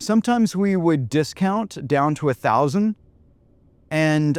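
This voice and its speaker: An unremarkable speaking voice with lively intonation, on a very clean recording with a silent background. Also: man. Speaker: podcast host and entrepreneur. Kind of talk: casual chat.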